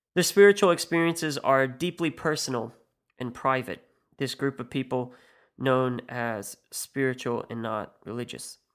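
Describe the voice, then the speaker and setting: In a very clean recording with a silent background, a man with an American accent and medium pitch speaks at a moderate pace, with ordinary pitch variation and big swings in loudness. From US Midwest. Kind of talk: scripted monologue podcast.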